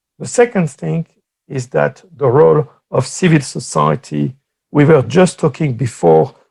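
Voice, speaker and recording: With a French accent, a man speaks at a fairly slow pace. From France. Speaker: political science professor. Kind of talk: conference talk.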